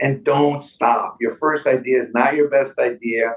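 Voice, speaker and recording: A man's fairly high pitch, with ordinary pitch variation. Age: 60s. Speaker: sports memorabilia businessman. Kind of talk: podcast interview. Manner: animated.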